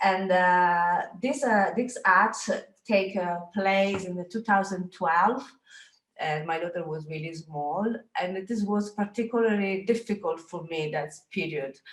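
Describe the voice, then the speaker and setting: In a Sicilian accent, a woman with a medium-pitched voice talks at a fairly slow pace with ordinary pitch variation. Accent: Italian (Sicilian) accent in English. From Sicily, Italy. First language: Italian. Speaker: photographer, artist. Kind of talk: presentation. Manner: halting, many hesitations.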